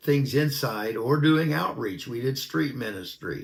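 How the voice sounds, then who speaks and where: A man speaks at a fairly slow pace with a Pacific Northwest accent. His voice is somewhat breathy, and his pitch varies in an ordinary way. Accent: American (Pacific Northwest). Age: 60s. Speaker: minister. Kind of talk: personal testimony.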